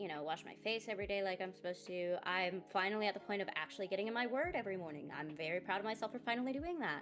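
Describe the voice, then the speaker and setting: Over music in the background, a woman talks at a very fast pace with hardly any pauses, lively intonation and a medium pitch. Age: 20s. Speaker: streamer. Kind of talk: casual chat. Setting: livestream.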